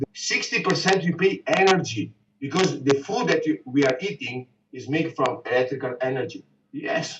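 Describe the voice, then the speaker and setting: With an Italian accent, a man talks in a fairly high pitch. He has lively intonation. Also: moderate pace. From Italy, Venice. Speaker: businessman. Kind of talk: casual conversation.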